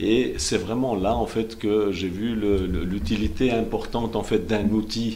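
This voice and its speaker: With audible room echo, a man talks at a fairly slow pace and a fairly low pitch, with fairly even intonation and hardly any pauses. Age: 50s. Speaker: politician, election candidate. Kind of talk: TV interview. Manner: halting, many fillers.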